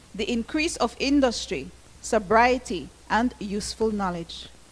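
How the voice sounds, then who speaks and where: A woman's voice with vocal fry, at a fairly slow pace and with ordinary pitch variation. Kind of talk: read formal prayer. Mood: solemn, reverent. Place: hall. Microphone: handheld.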